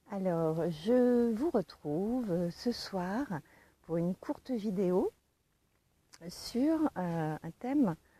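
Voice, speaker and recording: At a very slow pace, a woman with a dark, mellow tone makes very wide pitch swings in a dry, close sound with no echo. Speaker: online coach on giftedness. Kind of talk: casual talk to camera, livestream. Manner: hesitant, many fillers.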